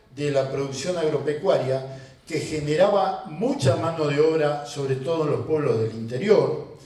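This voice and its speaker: With lively intonation, a man speaks at a fairly slow pace. There is audible room echo along with noticeable background noise. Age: 60s. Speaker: farmer and rural union leader. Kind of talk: panel talk at an event.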